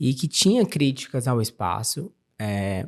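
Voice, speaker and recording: Speaking at a very slow pace, a man has a dark, mellow tone. His pitch sits fairly high. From Brazil, interior of Ceará. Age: 30s. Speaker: architect. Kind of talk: interview conversation. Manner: animated.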